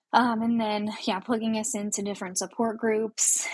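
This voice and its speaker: With an American accent, a woman speaks at a moderate pace in a somewhat breathy voice. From North Idaho, US. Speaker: adoptive mother. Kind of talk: interview.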